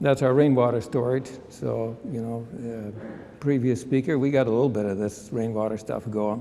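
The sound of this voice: A man speaks at a medium pitch with fairly even intonation. His tone is dark and mellow.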